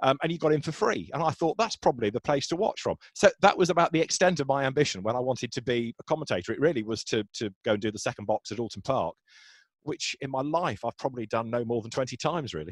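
Speaking very fast at a medium pitch, a man uses lively intonation in a very clean recording with a silent background and a dry, close sound with no echo. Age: 40s. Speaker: motor racing commentator. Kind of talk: casual interview.

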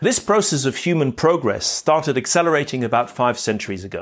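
A plain, everyday voice talks at a moderate pace with ordinary pitch variation. The background is quiet. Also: man. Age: 50s. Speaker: podcast host. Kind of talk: reflective monologue. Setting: outdoors, walking in a park.

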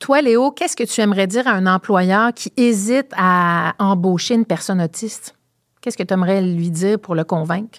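Heard in a dry, close sound with no echo, a woman with an unremarkable speaking voice talks at a medium pitch and a moderate pace. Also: ordinary pitch variation. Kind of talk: casual interview.

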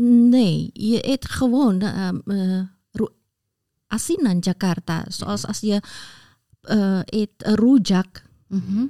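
A woman with an Indonesian accent, medium pitch, ordinary pitch variation and a dark, mellow tone, very slow pace with long, frequent pauses, dry, close sound with no echo, on a very clean recording with a silent background. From Indonesia, Semarang. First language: Indonesian (speaking Dutch). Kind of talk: casual chat.

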